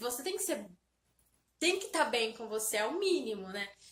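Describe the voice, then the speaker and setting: A woman speaks in a bright, sharp tone. Her pitch makes very wide swings. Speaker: self-help vlogger. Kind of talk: motivational talk to camera. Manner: animated.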